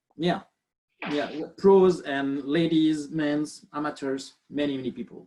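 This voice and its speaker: A man speaks at a fairly slow pace. His pitch is fairly high and his intonation fairly even. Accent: French. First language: French. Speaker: biomechanist. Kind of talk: webinar lecture. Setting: video call.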